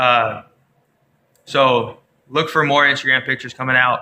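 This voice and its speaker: A man speaks in a fairly high pitch. His tone is bright and sharp. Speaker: Disney theme park vlogger. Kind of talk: casual vlog chat. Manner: animated; fast.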